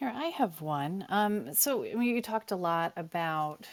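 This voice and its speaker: In a plain, everyday voice, a woman speaks with an American accent. Her pace is moderate and her intonation lively. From US, small town. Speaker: cybersecurity executive and moderator. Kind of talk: panel conversation.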